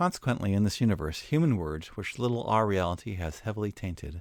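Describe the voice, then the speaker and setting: Here is a man with an American accent and a plain, everyday voice, pitched fairly low. He talks at a fairly quick pace on a very clean recording with a silent background. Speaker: educational video narrator. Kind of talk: scripted narration. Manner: formal.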